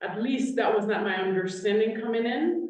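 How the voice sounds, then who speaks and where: A woman with a fairly high pitch speaks in a room with audible echo. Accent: Haitian. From Haiti. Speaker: state legislator. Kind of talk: panel discussion.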